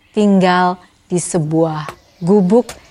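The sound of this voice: What you hear is an unforced reading voice.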